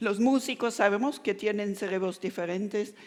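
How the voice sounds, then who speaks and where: In a very clean recording with a silent background, a woman talks with a German accent. She keeps a moderate pace and ordinary pitch variation. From Germany. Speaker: neuroscience professor. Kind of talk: lecture. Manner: halting, with frequent self-corrections.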